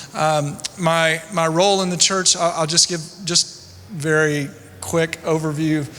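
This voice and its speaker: A man with a Southern US accent talks in a fairly high pitch over noticeable background noise. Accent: American Southern. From US South, rural Louisiana. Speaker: church consultant, former attorney and pastor. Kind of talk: conference talk.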